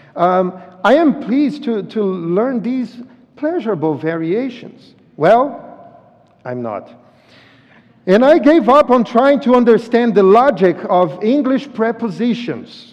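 Speaking at a fairly slow pace, a man with a Brazilian accent uses an extremely high pitch and lively intonation. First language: Portuguese. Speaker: visiting pastor. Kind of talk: sermon. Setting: church. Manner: halting, repeats words.

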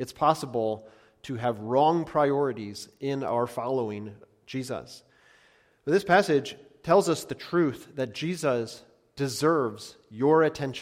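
Recorded very cleanly against a silent background, a man with an unremarkable speaking voice talks fairly slowly in a medium pitch with ordinary pitch variation. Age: 30s. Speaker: pastor. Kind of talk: sermon.

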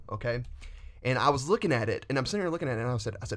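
Speaking with a Southern US accent, a man at medium pitch uses lively intonation. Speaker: student pastor. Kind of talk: casual podcast chat about faith. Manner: fast talker.

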